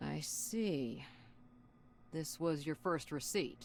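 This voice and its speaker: A woman uses a put-on character voice, gravelly and very deep and low, with lively intonation at a very slow pace. Clear background noise runs behind her. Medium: video game. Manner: blunt, crude, offhand.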